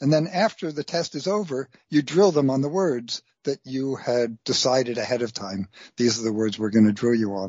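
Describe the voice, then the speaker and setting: A man with an unremarkable speaking voice, medium pitch and lively intonation, with hardly any pauses. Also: moderate pace. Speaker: science writer. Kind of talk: interview.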